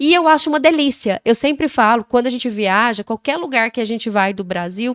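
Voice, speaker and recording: A woman talks at a fairly quick pace with lively intonation and a high pitch. The sound is dry and close, with no echo. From Brazil, Goiás. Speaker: podcast host, mother. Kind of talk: casual chat.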